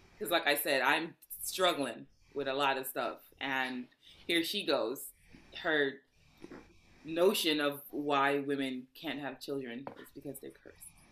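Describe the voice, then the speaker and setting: A woman's very deep, low voice with a bright, sharp tone, fairly slow pace, fairly even intonation and long, frequent pauses. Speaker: podcast host. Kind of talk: casual chat.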